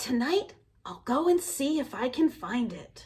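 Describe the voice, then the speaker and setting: Using a put-on character voice, a woman speaks with a high pitch at a fairly slow pace. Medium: read story. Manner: soft, wondering.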